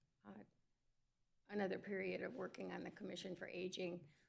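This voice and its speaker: With audible room echo, a woman's medium-pitched voice comes through with vocal fry. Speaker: commission applicant at city council. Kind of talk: public comment speech. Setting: council chamber, in person.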